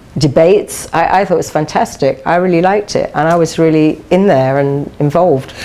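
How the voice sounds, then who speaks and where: A woman with a fairly low pitch and ordinary pitch variation talks at a fairly quick pace, hardly pausing. Her loudness stays very even over noticeable background noise. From London, England. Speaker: TV interview guest, dating columnist. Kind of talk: TV interview.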